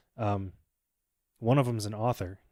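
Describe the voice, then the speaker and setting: A man talks at a fairly slow pace with a medium pitch and fairly even intonation. The recording is very clean with a silent background, and the sound is dry and close with no echo. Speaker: vlogger. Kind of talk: casual vlog response. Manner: lethargic, bored sounding; halting, many fillers.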